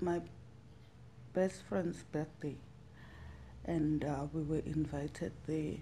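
Speaking at a fairly slow pace, a woman with a Zulu accent has a very deep, low pitch, a dark, mellow tone and vocal fry. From South Africa, Witbank (Mpumalanga). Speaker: survivor telling her story. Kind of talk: testimony.

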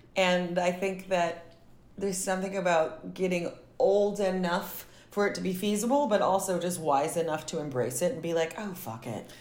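Room echo can be heard around this voice. A woman with an American accent speaks at a medium pitch. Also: ordinary pitch variation, moderate pace. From US South. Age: 30s. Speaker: actor and filmmaker. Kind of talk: casual chat. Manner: animated.

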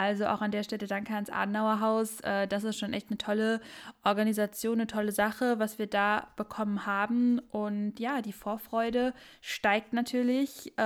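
In a very clean recording with a silent background, a woman speaks at a moderate pace in a fairly high pitch with flat, monotone intonation. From Sauerland, western Germany. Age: 20s. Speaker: podcast co-host, lawyer and party youth politician. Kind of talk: casual political chat.

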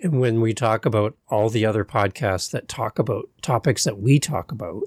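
In a normal speaking voice, a man with a Canadian accent talks at a fairly quick pace, the sound dry and close with no echo on a very clean recording with a silent background. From Canada. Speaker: podcast host. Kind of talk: casual interview chat.

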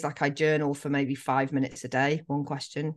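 Against a quiet background, a woman speaks with an English accent. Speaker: life coach. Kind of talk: casual interview.

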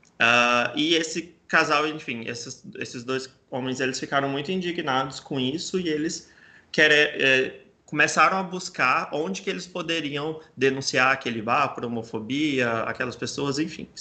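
Bright and sharp in tone, a man speaks at a fairly high pitch and a fairly slow pace. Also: ordinary pitch variation. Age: 20s. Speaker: journalist and LGBTI+ nonprofit communications director. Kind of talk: interview.

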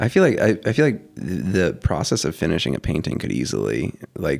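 Using vocal fry and very wide pitch swings, a man speaks at a moderate pace. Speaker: podcast host. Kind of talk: casual chat.

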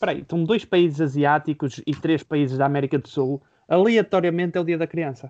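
A man talks with a plain, everyday voice at a fairly high pitch. His pitch variation is ordinary and his pace fairly quick. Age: 20s. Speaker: podcast co-host, journalism student. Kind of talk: casual chat.

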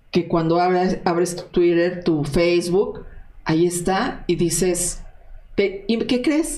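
This woman's voice has a dark, mellow tone. Her pitch is fairly low, with ordinary variation. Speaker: investigative journalist. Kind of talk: interview.

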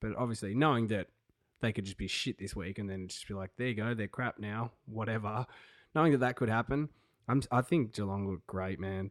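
Speaking at a fairly quick pace with an Australian accent, a man's fairly low voice comes through on a very clean recording with a silent background. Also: ordinary pitch variation, dry, close sound with no echo. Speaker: sports podcast co-host. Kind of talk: casual chat. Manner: animated.

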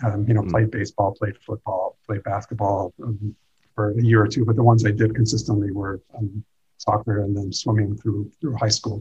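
A man speaks in a fairly low, somewhat breathy voice with a dark, mellow tone and flat, monotone intonation, recorded dry and close with no echo. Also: moderate pace. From US (moved from Iran at age six). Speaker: dental school dean. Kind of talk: interview. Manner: halting, with frequent repetitions.

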